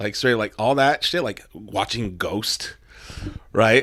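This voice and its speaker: A man talks at a fairly slow pace with medium pitch and a normal speaking voice. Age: 30s. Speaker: hardcore band frontman. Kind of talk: podcast interview. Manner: casual, lots of filler.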